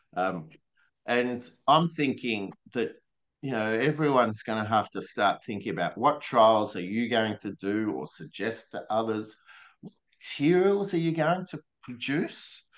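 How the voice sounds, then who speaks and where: At a fairly slow pace, a man with an Australian accent speaks at a medium pitch, with very wide pitch swings and big swings in loudness. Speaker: regenerative grazing presenter. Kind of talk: webinar presentation.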